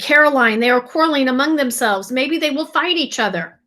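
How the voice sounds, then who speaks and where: A woman uses a put-on character voice with a high pitch. She talks at a fairly quick pace. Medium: read story. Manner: steady, low-key.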